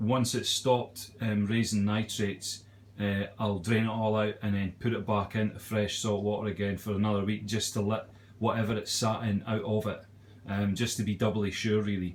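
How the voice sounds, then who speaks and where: At a moderate pace, a man speaks in a fairly low, monotone, flat voice. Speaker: aquarium hobbyist, joiner by trade. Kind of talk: casual video tour. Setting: at home. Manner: hesitant, many fillers; lowered voice in living room.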